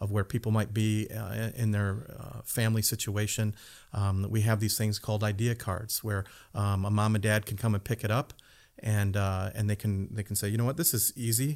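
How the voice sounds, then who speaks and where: A man with an American accent has an ordinary speaking voice. His pitch is fairly low, on a very clean recording with a silent background. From US Midwest, southwestern Michigan. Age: 50s. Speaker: pastor of family life. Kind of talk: casual chat.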